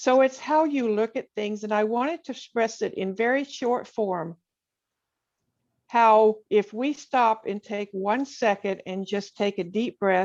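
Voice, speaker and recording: At a fairly slow pace, a woman with a fairly high pitch uses an ordinary speaking voice with ordinary pitch variation. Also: quiet background. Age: 60s. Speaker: poet and writer. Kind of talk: interview.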